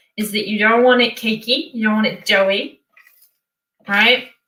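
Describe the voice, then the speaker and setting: Bright, sharp tone from a woman at a fairly high pitch with fairly even intonation. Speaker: online show host. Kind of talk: casual baking tutorial. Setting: home kitchen. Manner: fast.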